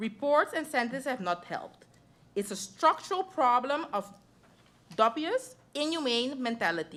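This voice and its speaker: A woman's high voice in a non-native accent, with very wide pitch swings. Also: moderate pace. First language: not English. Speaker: member of parliament. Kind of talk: parliamentary debate speech.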